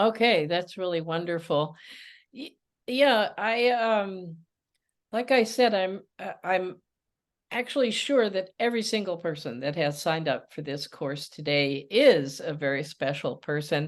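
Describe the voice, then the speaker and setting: Against a quiet background, a woman with a fairly low pitch speaks at a fairly slow pace, her pitch swinging very widely. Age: 80s+. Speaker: emotions coach and author. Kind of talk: webinar talk. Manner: halting, some stammering.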